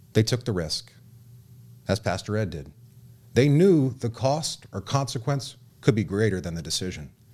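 A man with an American accent at a medium pitch, with very wide pitch swings and long, frequent pauses. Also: moderate pace, very clean recording, silent background. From Southern California. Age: 30s. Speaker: radio host and memoir author. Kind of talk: radio talk show. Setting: studio.

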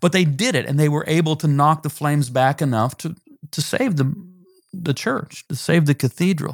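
Speaking at a moderate pace, a man with a somewhat breathy voice and fairly high pitch shows ordinary pitch variation, recorded in a dry, close sound with no echo. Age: 60s. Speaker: pastor and author. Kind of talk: interview.

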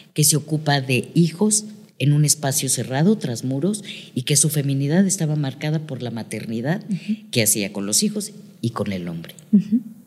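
A woman speaks fairly slowly in a very deep, low pitch, her dark, mellow tone somewhat breathy as her pitch swings very widely. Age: 50s. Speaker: psychotherapist and family constellation facilitator. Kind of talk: interview.

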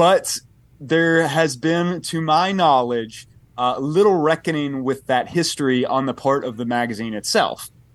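Speaking at a fairly slow pace, a man has a fairly high pitch and ordinary pitch variation. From US South, Tennessee. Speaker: historian of religion, author. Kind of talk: interview discussion. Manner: articulate.

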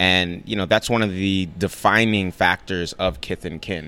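Speaking with an American accent, a man uses a bright, sharp tone and a very deep, low pitch, moving at a moderate pace with fairly even intonation. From New York City (the Bronx). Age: 20s. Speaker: chef. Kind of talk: casual chat. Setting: restaurant.

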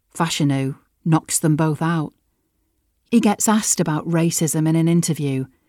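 In a plain, everyday voice, a woman talks at a moderate pace with ordinary pitch variation, in a dry, close sound with no echo on a very clean recording with a silent background. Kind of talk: dramatic narration. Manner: vivid, suspenseful storytelling with clipped, punchy sentences and pauses.

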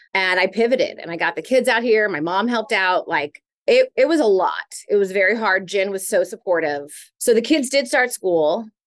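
Over a quiet background, a woman with an unremarkable speaking voice talks at a moderate pace, her fairly high pitch carrying lively intonation. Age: 40s. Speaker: reality TV personality. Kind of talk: casual chat. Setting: tattoo shop.

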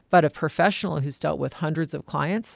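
Over a very clean recording with a silent background, a woman talks at a fairly quick pace with lively intonation and vocal fry. The sound is dry and close, with no echo. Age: 50s. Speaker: private trustee and executor. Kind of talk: casual chat.

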